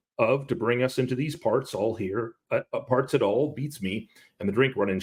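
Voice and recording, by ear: The surroundings are quiet. The text is read aloud in a natural voice.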